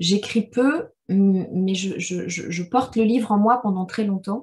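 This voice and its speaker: Somewhat breathy, a woman speaks at a medium pitch with ordinary pitch variation. Her pace is very slow. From Rwanda. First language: Kinyarwanda (speaking French). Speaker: novelist. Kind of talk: literary discussion Q&A. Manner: halting, many repetitions.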